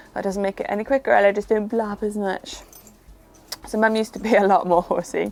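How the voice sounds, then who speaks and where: Amid noticeable background noise, a woman with a Welsh accent talks at a very fast pace in a medium pitch with monotone, flat intonation. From Wales, Pembrokeshire. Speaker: equestrian vlogger. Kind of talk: casual vlog chat. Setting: outdoors in a field.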